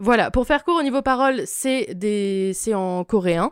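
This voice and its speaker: With a plain, everyday voice, a woman speaks at a fairly slow pace in a very clean recording with a silent background and a dry, close sound with no echo. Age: 20s. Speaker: podcast guest, cultural recommendations. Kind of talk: casual chat.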